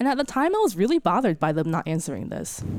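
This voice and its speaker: In a very clean recording with a silent background, a woman with an American accent speaks in a dark, mellow tone with very wide pitch swings. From Virginia, US. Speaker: scientist and storyteller. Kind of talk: live storytelling to an audience. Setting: stage with audience.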